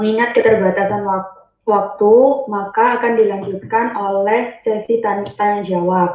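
Monotone, flat intonation at a moderate pace. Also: woman. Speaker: student event MC. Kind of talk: formal event hosting. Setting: video call. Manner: formal.

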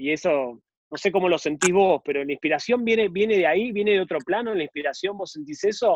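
This man talks at a fairly quick pace in a Rioplatense accent. His intonation is lively. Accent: Argentine Spanish (rioplatense). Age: 40s. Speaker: podcast co-host. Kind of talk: interview.

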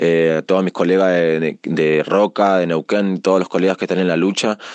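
A man's very deep, low voice, monotone and flat, at a fairly quick pace, with a dry, close sound, no echo, and a quiet background. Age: 20s. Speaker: rapper. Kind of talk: recorded self-introduction. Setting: radio segment. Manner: casual, many filler 'eh'.

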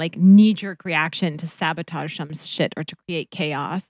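A woman with an American accent has a plain, everyday voice and a fairly low pitch. She talks at a moderate pace with fairly even intonation, in a very clean recording with a silent background and a dry, close sound with no echo. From US Upper Midwest, North Dakota. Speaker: reiki practitioner. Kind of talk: casual chat.

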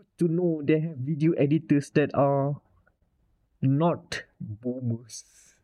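This man's voice sits fairly high. He speaks at a very slow pace. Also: quiet background. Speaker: podcast co-host. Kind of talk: casual chat. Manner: animated.

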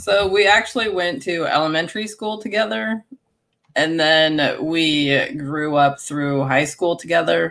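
Speaking fairly slowly in an unremarkable speaking voice, a woman uses a fairly low pitch and lively intonation. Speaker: homesteader and former teacher. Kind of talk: casual interview.

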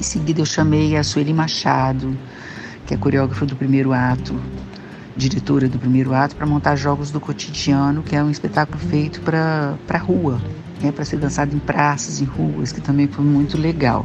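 Over noticeable background noise and audible room echo, a woman talks at a moderate pace in a very deep, low pitch with ordinary pitch variation. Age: 60s. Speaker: choreographer and dance company director. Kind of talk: interview. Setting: remote call.

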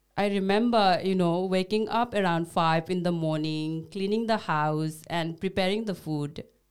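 A woman with a Nepali accent speaks at a moderate pace and medium pitch, with ordinary pitch variation and hardly any pauses. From Bhutanese refugee camp in Nepal. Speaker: podcast co-host, social worker. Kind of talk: casual scripted conversation. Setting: studio.

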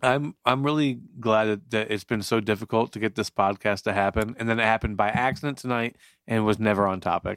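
A normal speaking voice from a man, fairly low in pitch, with fairly even intonation, very even loudness and a fairly quick pace. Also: very clean recording, silent background. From northern New Jersey, partly raised in Florida. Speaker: podcast co-host. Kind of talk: casual chat. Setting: drinking beer while recording.

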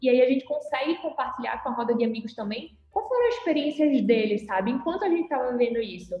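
Over noticeable background noise, a woman with a high voice races along at a very fast pace with lively intonation and hardly any pauses. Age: 20s. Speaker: corporate supervisor, former junior enterprise member. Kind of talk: casual podcast interview.

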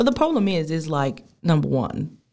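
A woman with an Australian accent and a dark, mellow tone. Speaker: podcast host. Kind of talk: casual chat.

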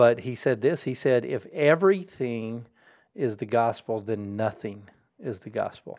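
In an American accent, a man talks fairly slowly in a normal speaking voice, medium in pitch, with lively intonation. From Colorado. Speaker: college president and pastor. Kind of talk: casual religious discussion.

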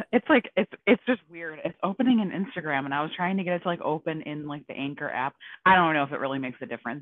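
Very fast and lively in intonation, a woman speaks with a very deep, low pitch. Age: 20s. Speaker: personal finance content creator. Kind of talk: casual chat.

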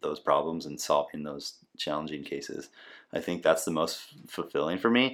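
A man with an American accent uses an ordinary speaking voice, talking at a fairly quick pace with lively intonation. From Nebraska. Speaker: physical therapist and podcast host. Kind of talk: casual interview. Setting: at home.

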